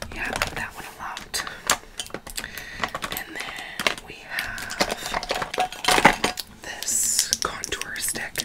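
Someone whispers at a very slow pace, with long, frequent pauses. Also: woman. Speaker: ASMR creator. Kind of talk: ASMR makeup collection showing, casual talk to camera. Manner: casual, chatty, whispery ASMR delivery. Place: home room.

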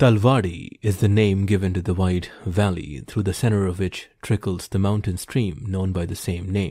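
On a very clean recording with a silent background, a man speaks in a dramatic, dark, mellow tone at a fairly low pitch with ordinary pitch variation. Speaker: audiobook narrator. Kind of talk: literary audiobook reading of a hunting memoir, first-person scripted narration. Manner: measured, unhurried, formal storytelling pace; vividly descriptive, quietly dramatic.

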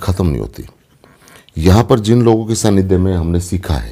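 Someone with a Haryanvi accent talks at a moderate pace against a quiet background. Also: man. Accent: Haryanvi-accented Hindi. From Haryana, Dujana village (Jhajjar); Haryana. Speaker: film actor; actor being interviewed. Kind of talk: interview. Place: home room. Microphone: phone near.

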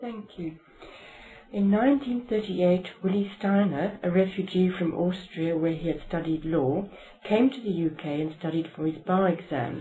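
A woman's medium-pitched voice, fairly slow, with ordinary pitch variation and light background noise. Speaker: interviewer. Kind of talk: oral history interview. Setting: library. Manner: formal.

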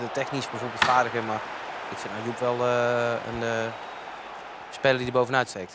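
Over noticeable background noise, a man with a medium-pitched voice talks at a moderate pace, his loudness swinging widely. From Brabant, southern Netherlands. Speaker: esports studio presenter and commentator. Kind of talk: live game commentary. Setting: studio. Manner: animated.

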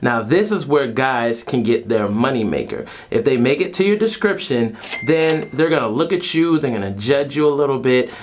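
A man speaks at a moderate pace with lively intonation over light background noise. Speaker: vlogger. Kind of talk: casual vlog chat. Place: home room.

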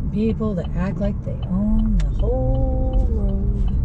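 Loud background noise over a dry sound with no echo. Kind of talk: casual vlog chat. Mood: wry, joking about drivers. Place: car. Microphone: phone near.

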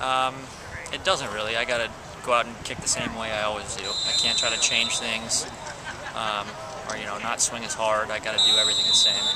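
There is loud background noise behind the voice. A man talks at a fairly quick pace. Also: dry sound with no echo. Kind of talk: interview answer. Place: stadium. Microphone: phone near.

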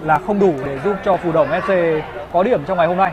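A high-pitched male voice with fairly even intonation, crowd noise behind it. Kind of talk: live sports commentary.

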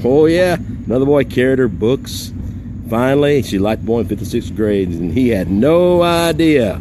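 Very wide pitch swings, a dry sound with no echo, and noticeable background noise. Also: man, moderate pace. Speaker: live stream host. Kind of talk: casual live video chat. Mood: cheerful, amused. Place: street. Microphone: phone near.

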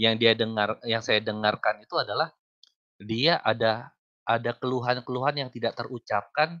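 Using a plain, everyday voice, a man talks at a medium pitch and moderate pace with ordinary pitch variation. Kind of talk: heated debate. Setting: video call. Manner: argumentative.

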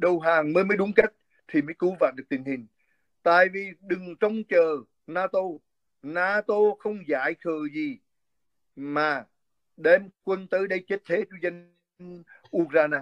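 A man's high-pitched voice at a fairly slow pace, with ordinary pitch variation and long, frequent pauses, in a dry sound with no echo and a quiet background. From central Vietnam, Quảng Bình; central Vietnam. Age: 60s. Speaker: physician and political commentator; political commentator. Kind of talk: interview. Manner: halting. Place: home room. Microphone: phone near.

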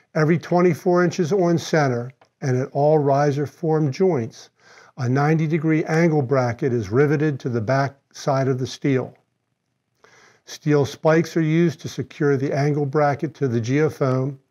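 At a fairly slow pace, a man speaks with a fairly high pitch, ordinary pitch variation and a dark, mellow tone.

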